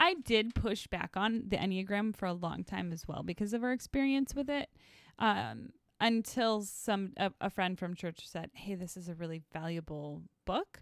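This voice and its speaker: In a very clean recording with a silent background and a dry, close sound free of echo, a woman of medium pitch speaks at a moderate pace with lively intonation. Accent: American. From northern Wisconsin, US. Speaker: podcast co-host, ministry worker. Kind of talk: casual chat.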